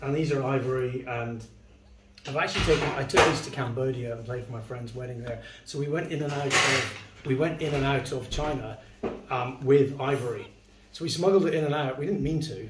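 A man speaking at a fairly quick pace amid loud background noise. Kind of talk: casual explanation. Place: home room. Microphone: camera far.

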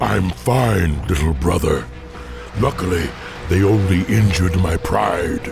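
A man puts on a character voice, low-pitched and full of vocal fry, with ordinary pitch variation and a slow pace. Clear music plays in the background.

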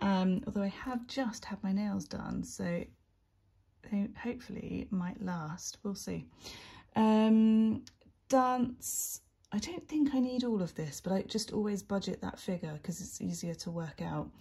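Against a quiet background, a woman's dark, mellow, somewhat breathy voice moves at a fairly slow pace. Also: ordinary pitch variation. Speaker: budgeting creator. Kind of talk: casual vlog chat. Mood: relaxed, chatty.

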